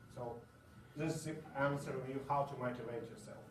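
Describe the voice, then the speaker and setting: Through audible room echo and noticeable background noise, a man with a non-native accent speaks with fairly even intonation. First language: not English. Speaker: conference speaker. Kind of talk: conference Q&A. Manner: halting.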